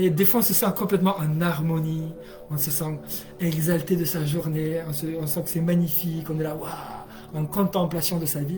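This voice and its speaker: The man speaks with a high pitch. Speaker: energy healer and hypnotherapist. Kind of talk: live stream talk. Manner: fast; animated.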